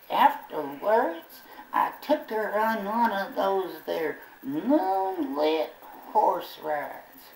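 A man performs a cartoonish character voice in a high pitch. He speaks at a very slow pace. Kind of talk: ventriloquist comic patter. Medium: puppet show. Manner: folksy, rambling, comically put-upon.

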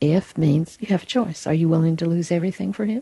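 Pitch variation here is ordinary, and the pace is moderate. There is a somewhat breathy quality to the voice. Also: woman. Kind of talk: spiritual teaching conversation.

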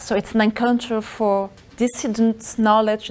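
Her pace is moderate. A woman is the one talking. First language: not English; works in Spanish and Portuguese. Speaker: researcher presenting a lecture. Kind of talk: lecture. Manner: halting. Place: classroom.

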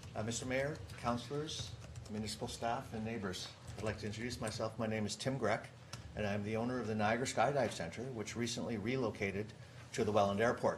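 The speaker talks at a fairly quick pace. Pitch variation is ordinary. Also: man, fairly low pitch for a man.

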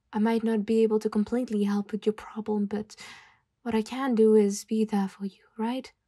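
A woman speaks at a moderate pace in a dark, mellow, warm, nervous tone with monotone, flat intonation and long, frequent pauses, in a dry, close sound with no echo. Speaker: ASMR roleplay performer voicing a tomboy best friend. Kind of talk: ASMR roleplay comfort, a gentle scripted-sounding friend soothing a depressed listener. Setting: close-mic ASMR recording, addressing the listener directly. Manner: soft, caring and reassuring, with hesitant, stumbling pauses and nervous laughs; warm and coaxing, repeating 'come on' and 'tell me' in an encouraging tone.

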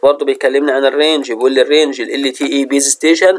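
A man with an Egyptian accent talks at a fairly quick pace and a fairly high pitch. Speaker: university lecturer. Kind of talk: lecture.

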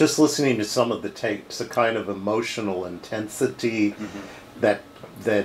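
At a moderate pace, a man with a fairly low voice talks in a normal speaking voice with ordinary pitch variation over light background noise. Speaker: interviewer. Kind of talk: interview questions. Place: office.

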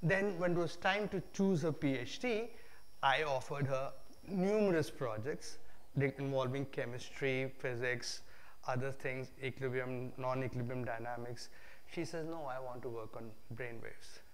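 A man's voice with ordinary pitch variation at a moderate pace. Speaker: guest lecturer. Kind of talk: lecture. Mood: relaxed, humorous storytelling. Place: hall.

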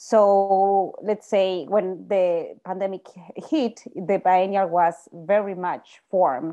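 Over a quiet background, a woman speaks with a dark, mellow tone. Her pace is very slow, with ordinary pitch variation. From Latin America. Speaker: art curator. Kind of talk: presentation. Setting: video call. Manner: halting. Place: home room. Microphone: webcam.

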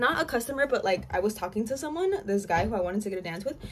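A woman's voice moves through very wide pitch swings. Noticeable background noise is present. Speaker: YouTuber and exotic dancer; vlogger. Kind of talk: casual storytime chat. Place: home room.

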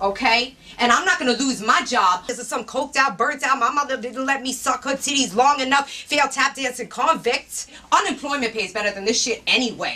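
A woman's raised, projected voice at a fairly quick pace. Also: ordinary pitch variation. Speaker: actress playing a warehouse manager. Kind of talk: scripted dramatic dialogue, angry rant. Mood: furious, exasperated.

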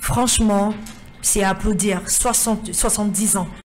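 Audible room echo surrounds speech delivered at a fairly slow pace with fairly even intonation. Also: woman, medium pitch for a woman.

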